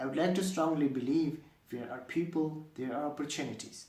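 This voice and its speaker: Audible room echo follows a man who talks at a fairly quick pace with fairly even intonation. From Afghanistan. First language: Dari and Pashto. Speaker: university student. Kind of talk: scripted self-introduction video. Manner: formal.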